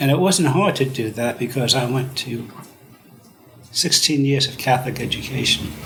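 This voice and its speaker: A man with a New York accent speaks at a moderate pace in a medium pitch, his pitch varying in an ordinary way over noticeable background noise. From US Northeast (Brooklyn, New York City). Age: 70s. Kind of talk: interview.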